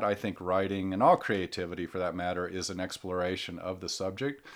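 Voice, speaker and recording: A man with a normal speaking voice and an American accent speaks at a moderate pace and a fairly low pitch. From US Midwest (Ohio). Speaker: author and climbing photographer. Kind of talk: casual conversation, panel talk before a live audience. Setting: in-store talk, live event.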